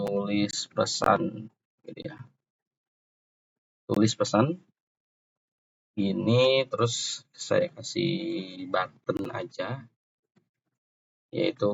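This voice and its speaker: A soft-spoken, somewhat breathy man at a very slow pace and medium pitch, with lively intonation, big swings in loudness, and long, frequent pauses. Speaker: programming tutor. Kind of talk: tutorial. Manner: halting.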